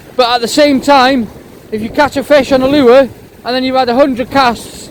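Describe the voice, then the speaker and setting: A man with an extremely high pitch speaks at a moderate pace over noticeable background noise. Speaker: fishing vlogger. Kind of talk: outdoor vlog with tips. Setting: outdoors on the shore.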